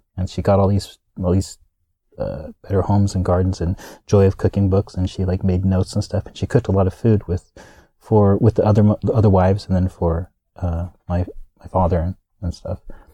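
At a fairly quick pace, a man with a very deep, low pitch speaks in a dark, mellow, somewhat breathy tone, flat and monotone, with a dry, close sound and no echo. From US, military family (Kansas, Hawaii). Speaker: actor and comedy performer. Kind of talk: interview. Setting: studio.

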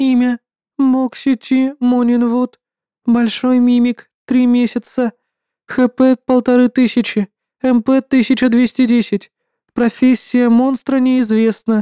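A female-sounding voice, put on as a character, sits high in pitch with monotone, flat intonation. Delivery is very slow with long, frequent pauses on a very clean recording with a silent background.

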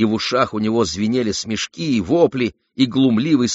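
A quiet background lies beneath plain reading aloud.

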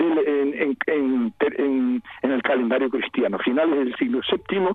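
Very slowly, a man with a fairly high pitch and ordinary pitch variation speaks against noticeable background noise. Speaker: historian and emeritus professor. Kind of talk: interview. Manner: halting.

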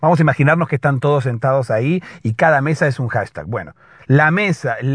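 At a moderate pace, a man speaks with a fairly high pitch and a slightly husky edge.

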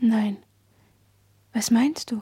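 In a put-on character voice, a woman speaks at a very slow pace with a fairly high pitch and ordinary pitch variation. Her tone is dark and mellow with a husky, rough edge.

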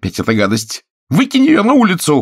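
A man puts on a character voice with a fairly high pitch, a slightly husky edge and very wide pitch swings at a moderate pace. The recording is very clean, with a silent background.

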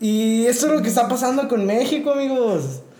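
A man is talking in a room with audible echo. There is noticeable background noise. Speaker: podcast co-host. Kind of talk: casual chat.

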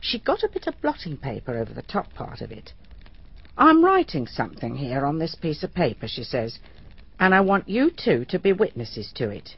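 Using a put-on character voice, a woman speaks at a moderate pace with a low pitch, vocal fry, and very wide pitch swings.

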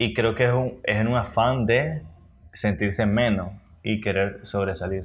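Audible room echo surrounds a man speaking at a fairly slow pace with a fairly low pitch, very even loudness and ordinary pitch variation. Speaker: podcast co-host. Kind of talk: casual chat. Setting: recording at 11 pm, keeping quiet. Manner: holding volume down.

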